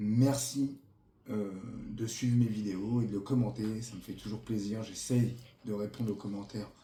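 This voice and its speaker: Here a man talks at a moderate pace with a fairly low pitch, a dark, mellow tone, and a somewhat breathy quality. His intonation is fairly even, and there is audible room echo. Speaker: model train youtuber. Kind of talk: product review. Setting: home recording with camera operator. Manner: hesitant, many fillers.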